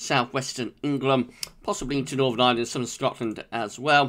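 Recorded very cleanly against a silent background, a man with a British accent talks at a fairly quick pace in a bright, sharp tone at medium pitch. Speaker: weather forecaster. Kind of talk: daily weather forecast video, informal solo delivery of technical meteorology. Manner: steady, matter-of-fact pacing with frequent 'uh' hesitations; relaxed, conversational, friendly tone.

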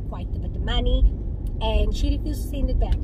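Loud background noise surrounds a woman speaking in a dry sound with no echo. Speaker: vlogger. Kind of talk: casual vlog chat. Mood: frustrated, indignant storytelling. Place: car. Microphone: phone near.

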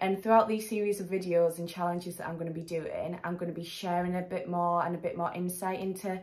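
With an English accent, a woman speaks at a fairly low pitch and a fairly quick pace. The background is quiet. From England. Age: 20s. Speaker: charity fundraiser vlogger. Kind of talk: vlog to camera. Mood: earnest, heartfelt. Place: home room. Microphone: phone near.

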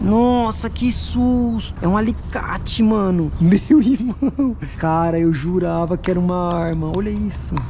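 An animated, excited woman's voice amid noticeable background noise and audible room echo. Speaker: YouTuber doing metal detecting and magnet fishing. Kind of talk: casual on-camera vlog narration. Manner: animated, excited exclamations.

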